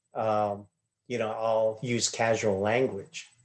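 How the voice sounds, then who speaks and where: At a fairly slow pace, a man speaks at a medium pitch in a monotone, flat delivery. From Hopi reservation, Arizona. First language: Hopi. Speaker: glass artist. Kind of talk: interview answers. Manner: hesitant, many fillers.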